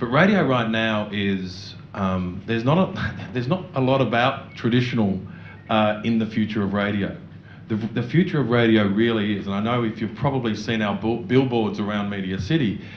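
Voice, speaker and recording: With an Australian accent, a man speaks at medium pitch and a moderate pace with ordinary pitch variation, over noticeable background noise and audible room echo. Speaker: radio network executive. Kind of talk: panel discussion.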